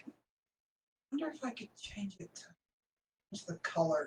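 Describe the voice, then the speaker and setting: A put-on character voice, raspy and fairly high-pitched, mumbling at a moderate pace. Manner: mumbling to himself.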